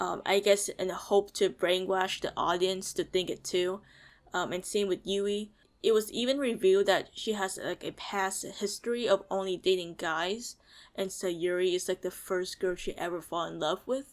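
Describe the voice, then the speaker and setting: Intonation stays fairly even as a woman speaks at a moderate pace in an ordinary speaking voice at medium pitch. The recording is very clean, with a silent background. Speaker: video reviewer. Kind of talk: video review commentary. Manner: many fillers like uh and um.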